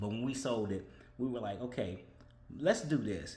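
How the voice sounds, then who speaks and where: The man's voice sits at a medium pitch and is somewhat breathy, with lively intonation. Room echo is audible. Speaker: vlogger. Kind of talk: casual monologue. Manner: fast.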